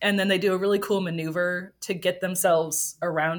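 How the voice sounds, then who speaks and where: A woman with an American accent speaks at a fairly quick pace in an ordinary speaking voice, with medium pitch and ordinary pitch variation. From Wisconsin, US Midwest. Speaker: evolutionary biologist. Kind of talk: interview.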